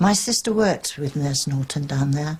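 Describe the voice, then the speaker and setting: Somewhat breathy, a woman speaks at a very deep, low pitch. Her pace is moderate. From England, Wigginton. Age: 70s. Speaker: local resident and witness. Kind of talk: interview.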